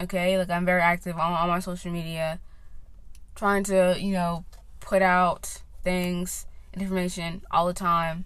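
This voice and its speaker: A woman speaks with an American accent. Her voice sits at a medium pitch. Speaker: podcast host. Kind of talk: casual monologue. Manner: rambling with many fillers.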